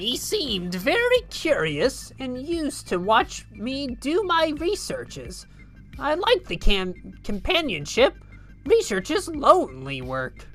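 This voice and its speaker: A female-sounding put-on character voice moves at a fairly slow pace with clear music in the background. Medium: game stream. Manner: flustered, stammering.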